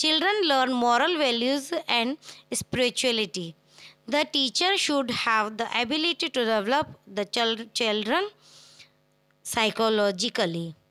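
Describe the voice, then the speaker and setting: This woman's voice sits high, with a bright, sharp tone and very wide pitch swings. Her loudness stays very even. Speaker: online tutor. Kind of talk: tutorial.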